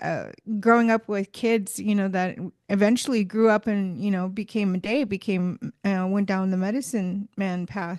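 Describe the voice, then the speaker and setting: An unremarkable speaking voice from a woman, with ordinary pitch variation at a moderate pace. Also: quiet background. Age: 30s. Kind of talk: casual chat.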